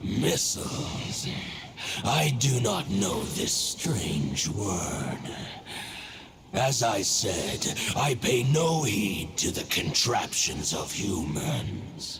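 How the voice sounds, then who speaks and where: A man's put-on character voice, fairly low in pitch, at a very slow pace over clear background noise. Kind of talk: mythic, archaic speech. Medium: video game. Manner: solemn, measured.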